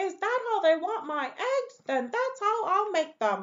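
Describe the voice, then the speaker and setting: A squeaky, put-on character voice. It moves at a fairly slow pace. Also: woman, extremely high pitch for a woman. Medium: read story.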